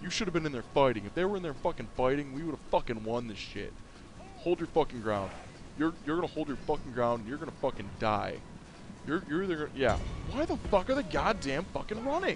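With music in the background, a man speaks fairly quickly in a fairly high-pitched voice with lively intonation. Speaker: gaming YouTuber. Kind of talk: angry rant while gaming. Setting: gameplay commentary recorded at computer. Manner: animated, laughs often, sarcastic commentary.

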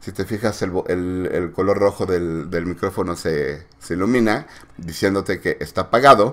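Very deep, low male voice at a moderate pace with ordinary pitch variation, in a very clean recording with a silent background. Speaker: tech reviewer. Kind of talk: product review tutorial. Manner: halting with fillers.

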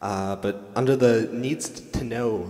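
Fairly even in intonation, an unremarkable speaking voice proceeds at a fairly slow pace. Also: man. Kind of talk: stage banter joke. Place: stage.

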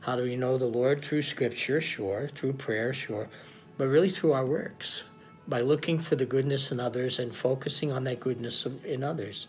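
With an American accent, a man speaks at a moderate pace with fairly even intonation as faint music plays in the background. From United States (Oklahoma). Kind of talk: Sunday homily / sermon. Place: home room. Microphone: phone near.

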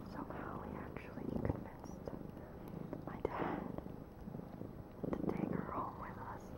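The speaker moves at a fairly slow pace, leaving long, frequent pauses. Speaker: ASMR creator. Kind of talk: ASMR relaxation video. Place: home room. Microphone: phone near.

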